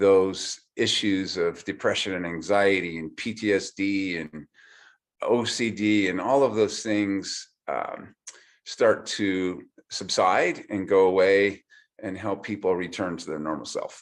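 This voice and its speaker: The intonation is fairly even, and the pace is fairly slow. The recording is very clean, with a silent background. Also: man. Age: 60s. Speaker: chiropractor. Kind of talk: product explainer. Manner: hesitant, repeats words.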